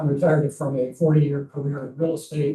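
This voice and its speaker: A man speaks at a fairly quick pace in a fairly high pitch, somewhat breathy, with a dark, mellow tone. His intonation is monotone and flat. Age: 70s. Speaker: planning commission applicant, retired mortgage lender. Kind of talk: reading a prepared statement at a council meeting.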